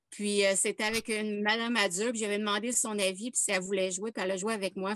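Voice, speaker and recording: Against a quiet background, a woman speaks at a fairly quick pace with medium pitch. Her intonation stays fairly even, and the sound is dry and close with no echo. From Quebec. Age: 50s. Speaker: workshop participant. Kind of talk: casual chat. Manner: halting.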